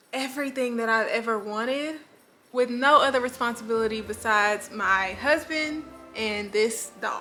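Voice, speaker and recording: Over music in the background, a woman with a high voice talks at a moderate pace with ordinary pitch variation. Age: 20s. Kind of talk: casual talk to camera.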